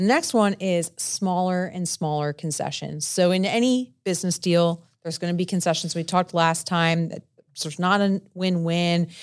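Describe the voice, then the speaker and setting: A woman speaks in a New Jersey accent with a fairly low pitch and fairly even intonation. She hardly pauses, and the recording is very clean with a silent background. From New Jersey, Italian-American. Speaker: business broker podcast co-host. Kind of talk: casual chat. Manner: fast, loud.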